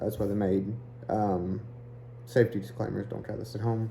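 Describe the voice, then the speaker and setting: His voice has a fairly low pitch. Audible room echo surrounds the man as he speaks. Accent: Eastern Kentucky. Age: 30s. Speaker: hiking vlogger. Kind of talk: casual vlog talk.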